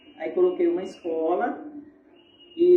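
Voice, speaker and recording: Amid noticeable background noise and audible room echo, a woman's voice makes very wide pitch swings. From Brazil, Goiás and Paraná. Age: 70s. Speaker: school founder and principal. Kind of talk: interview reminiscence. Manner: hesitant with fillers.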